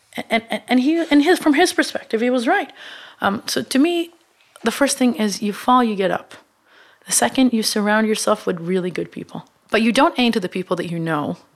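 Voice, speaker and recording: With a fairly high pitch, a woman speaks in very wide pitch swings. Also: fairly quick pace. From Israel. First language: Hebrew. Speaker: media company co-founder. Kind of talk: interview. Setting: studio.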